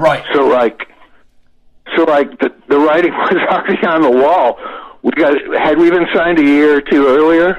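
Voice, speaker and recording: A man with an American accent and a fairly high pitch, at a moderate pace with ordinary pitch variation, amid noticeable background noise. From Florida. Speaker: rock singer. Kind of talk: casual interview.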